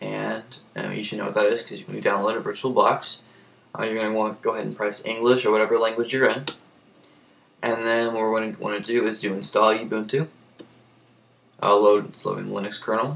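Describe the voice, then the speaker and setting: A man talks at a very fast pace with a monotone, flat intonation. Long, frequent pauses break up his speech. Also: medium pitch for a man. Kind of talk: casual screen-recorded software tutorial. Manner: hesitant, many fillers.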